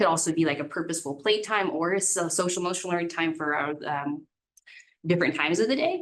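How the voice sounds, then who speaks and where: A woman's voice with a fairly low pitch. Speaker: school administrator. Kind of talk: board meeting presentation. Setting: school board meeting room, ceiling microphones.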